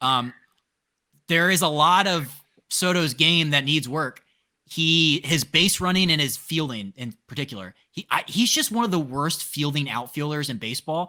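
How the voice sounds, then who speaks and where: With lively intonation and a bright, sharp tone, a man in an American accent speaks at a moderate pace and a fairly high pitch. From Eastern Shore of Maryland. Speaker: podcast host. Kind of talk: casual chat.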